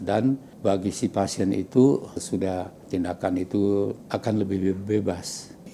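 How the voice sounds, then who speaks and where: Speech at a very slow pace with hardly any pauses carries a dark, mellow tone and fairly even intonation. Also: man. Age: 80s+. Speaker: hospital patient. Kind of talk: patient testimony. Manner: halting, with self-corrections.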